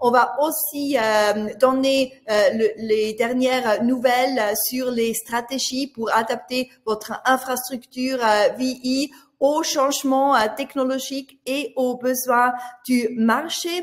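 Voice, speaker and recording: A woman's high voice with a slight Swiss German accent, very slow and fairly even in intonation, amid noticeable background noise. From Switzerland (Swiss German). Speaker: business journalist moderating a webinar. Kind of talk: webinar moderation and speaker introductions. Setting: online webinar. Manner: hesitant, many filler sounds.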